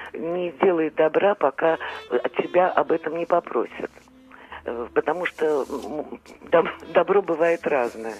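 A woman speaks very slowly with a fairly low pitch and ordinary pitch variation. She leaves long, frequent pauses, and background noise is noticeable. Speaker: caller. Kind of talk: phone-in call. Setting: phone call. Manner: halting, stammering.

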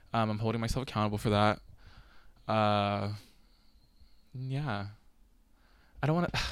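Long, frequent pauses break up a man's speech. His pitch is fairly low and varies in an ordinary way. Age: 20s. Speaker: podcaster. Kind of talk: casual solo podcast monologue. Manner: fast talker, rambling; filler-heavy, chatty, self-conscious.

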